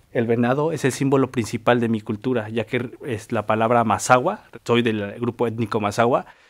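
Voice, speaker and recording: Against a quiet background, a speaker with a central Mexican accent talks at a moderate pace with fairly even intonation. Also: man. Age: 20s. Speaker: folk artist and embroiderer. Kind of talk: personal testimony. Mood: calm, earnest. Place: studio.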